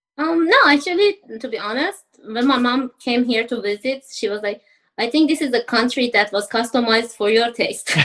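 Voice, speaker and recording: A woman with an Iranian accent, high-pitched and lively in intonation, at a moderate pace. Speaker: university student, former engineer. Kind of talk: interview podcast.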